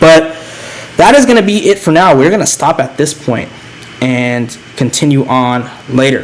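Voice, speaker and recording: Amid audible room echo and noticeable background noise, a man with a fairly high voice and lively intonation speaks at a moderate pace. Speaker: philosophy lecturer / channel host. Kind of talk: lecture. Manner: halting with fillers.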